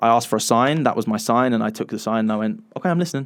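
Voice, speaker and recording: With an English accent, a man speaks at a medium pitch and a fairly quick pace, using ordinary pitch variation. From England. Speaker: podcast co-host. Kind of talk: casual chat.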